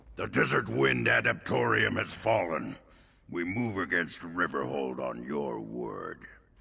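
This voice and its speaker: In a put-on character voice, a man speaks raspy and very deep, at a fairly slow pace. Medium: video game. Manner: cold, formal.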